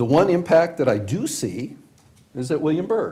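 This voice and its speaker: Somewhat breathy and dark, mellow in tone, a man's fairly high voice moves with lively intonation. He speaks with an American accent. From Washington, D.C. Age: 70s. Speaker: county supervisor. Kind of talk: public meeting deliberation. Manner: conversational, halting.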